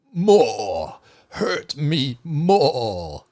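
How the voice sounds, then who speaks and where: This is a put-on character voice from a man. It sits at a fairly high pitch. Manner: pained, masochistic, raspy cry.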